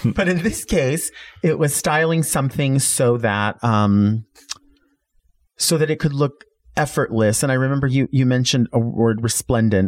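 In a normal speaking voice, a man keeps very even loudness and ordinary pitch variation. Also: medium pitch for a man, moderate pace. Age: 40s. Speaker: drag queen and wig stylist. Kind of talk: casual interview chat.

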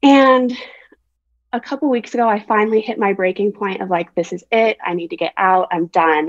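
An unremarkable speaking voice moves at a moderate pace with lively intonation, recorded in a dry, close sound with no echo. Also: woman, medium pitch for a woman. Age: 20s. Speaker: caller. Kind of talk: advice call.

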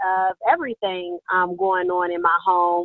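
The woman has an American accent and a medium pitch. She talks at a fairly slow pace. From US Midwest, Columbus, Ohio. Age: 30s. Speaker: social worker. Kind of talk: interview.

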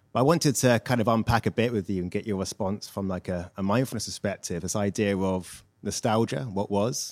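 A man with an English accent speaks at a fairly quick pace in a fairly low pitch with ordinary pitch variation, recorded dry and close with no echo on a very clean, silent background. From England. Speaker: audience member asking a question. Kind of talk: audience question. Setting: stage with live audience.

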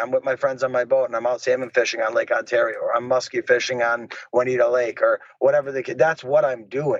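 A man with an American accent talks at a fairly quick pace in an unremarkable speaking voice, with fairly even intonation. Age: 30s. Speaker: MMA fighter. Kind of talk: interview.

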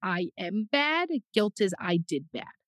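A woman's medium-pitched voice with very wide pitch swings, in dry, close sound with no echo. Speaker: therapist and podcast host. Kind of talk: casual chat. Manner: loud; animated.

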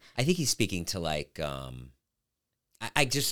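Vocal fry runs through a man's lively intonation as he speaks at a moderate pace on a very clean recording with a silent background. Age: 50s. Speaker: comedian and podcast host. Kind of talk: casual chat.

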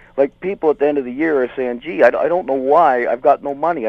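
Here is a man with an ordinary speaking voice, pitched fairly high. He talks at a fairly quick pace with ordinary pitch variation. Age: 60s. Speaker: small business owner, caller. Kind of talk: call-in radio conversation. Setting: phone call.

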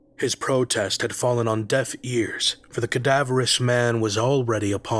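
The reading voice is unforced, with fairly even intonation.

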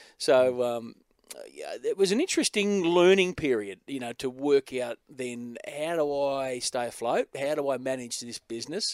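With an Australian accent, a man talks in a dry, close sound with no echo. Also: fairly high pitch for a man, ordinary pitch variation, moderate pace. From Australia (Newcastle, NSW; high school in Adelaide). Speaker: event host and speaker coordinator. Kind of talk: casual interview.

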